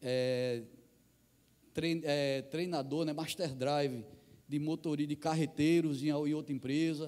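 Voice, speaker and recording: Spoken at a very slow pace, the voice has a northeastern Brazilian accent, a dark, mellow tone and fairly even intonation. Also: man. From Brazilian Northeast. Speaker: missionary pastor. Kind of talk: sermon. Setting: church.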